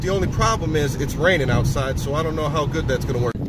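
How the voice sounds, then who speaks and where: A man talking at a very fast pace, dry with no echo, amid loud background noise. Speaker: family vlogger. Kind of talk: casual vlog chat. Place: car. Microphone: phone near.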